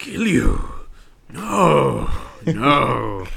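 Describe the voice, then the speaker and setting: A man performs a put-on character voice. The recording has an audible echo. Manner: dramatic, grand.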